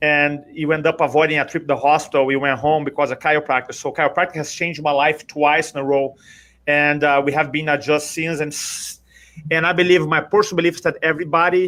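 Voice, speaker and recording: A man with a Brazilian accent talks at a very fast pace. His tone is bright and sharp, his pitch fairly high. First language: Portuguese. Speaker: public speaking coach. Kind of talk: interview. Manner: animated.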